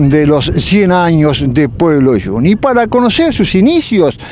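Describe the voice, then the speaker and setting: Amid noticeable background noise, a man speaks high in pitch at a fairly slow pace, with very wide pitch swings. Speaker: TV farm program host. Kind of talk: interview; TV program presenting. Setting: outdoors at the railway station.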